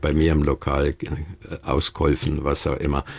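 Vocal fry runs through this man's very deep, low voice. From Bavarian Swabia (Memmingen). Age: 80s+. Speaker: retired restaurateur, interviewee. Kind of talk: interview. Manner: halting, many fillers.

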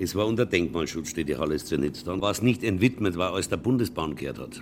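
A man with a very deep, low pitch and vocal fry speaks at a very fast pace with lively intonation. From Lower Franconia (Würzburg). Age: 70s. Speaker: concert venue operator. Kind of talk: interview.

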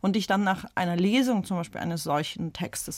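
In a very clean recording with a silent background, a woman with a Russian accent speaks with ordinary pitch variation. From St. Petersburg, Russia; raised in Germany from age 11. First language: Russian (speaking German). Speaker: author. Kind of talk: radio panel discussion.

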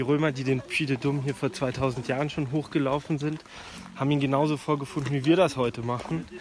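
A man speaks at a fairly quick pace in a fairly high pitch, his intonation fairly even, with noticeable background noise behind him. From Germany. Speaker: hiker. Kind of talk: casual chat.

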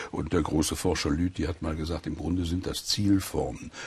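A man speaks with vocal fry. His voice sits very deep and low. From Sauerland, western Germany. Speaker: professor of German philology and folklore. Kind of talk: radio interview.

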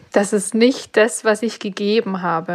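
Very slowly, a woman delivers her words in fairly even intonation. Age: 30s. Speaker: freelance graphic designer. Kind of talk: coaching session. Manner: halting, many fillers.

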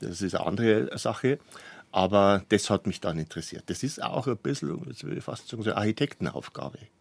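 His pitch is fairly low but swings very widely. This man speaks at a very fast pace. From Lower Bavaria, Germany. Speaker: publisher. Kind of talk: radio interview. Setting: studio.

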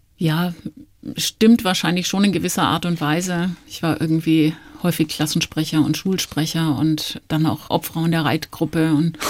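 Speaking in a relaxed, calm tone, a woman with a fairly low pitch keeps a moderate pace and fairly even intonation. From Nuremberg, Franconia (Germany). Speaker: virologist, medical professor. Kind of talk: radio interview.

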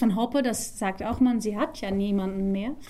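A woman's dark, mellow voice with a Dutch accent and fairly even intonation. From Netherlands. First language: Dutch (speaking German). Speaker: musical theatre actress. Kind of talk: interview.

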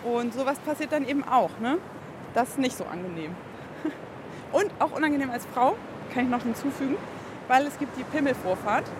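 A high-pitched woman speaks with lively intonation at a moderate pace, leaving long, frequent pauses. Noticeable background noise runs underneath. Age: 30s. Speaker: amateur surfer. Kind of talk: interview.

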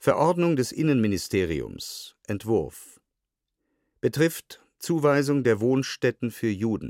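Here a man speaks at a very slow pace. His intonation is lively. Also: medium pitch for a man. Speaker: actor reading documents. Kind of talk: reading aloud of historical documents.

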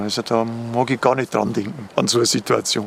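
Noticeable background noise runs beneath a man speaking at a moderate pace. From Upper Palatinate, Bavaria. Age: 50s. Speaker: cemetery manager. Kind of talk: on-site interview.

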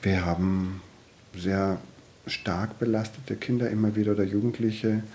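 The speaker uses a calm tone at a moderate pace. Loudness stays very even and intonation fairly even. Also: man, fairly low pitch for a man. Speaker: social worker in youth welfare. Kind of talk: interview.

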